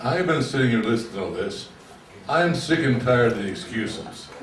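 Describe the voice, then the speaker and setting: Over noticeable background noise and audible room echo, a man with a medium pitch talks at a moderate pace with lively intonation. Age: 70s. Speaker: retiree speaking at public meeting. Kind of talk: public meeting comment.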